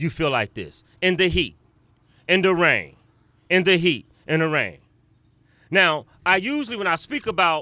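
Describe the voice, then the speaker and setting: On a very clean recording with a silent background, a man speaks loudly at a high pitch, his tone bright and sharp and his intonation lively. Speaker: museum founder and president. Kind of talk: ceremony speech. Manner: animated.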